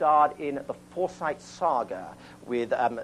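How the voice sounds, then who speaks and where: In an English accent, a man talks with ordinary pitch variation. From England. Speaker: children's TV show host. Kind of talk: studio audience banter and introduction. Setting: TV studio with kids audience. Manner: animated.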